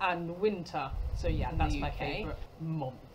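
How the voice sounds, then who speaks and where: This woman speaks with a British accent. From United Kingdom. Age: 40s. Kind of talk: casual talk to camera.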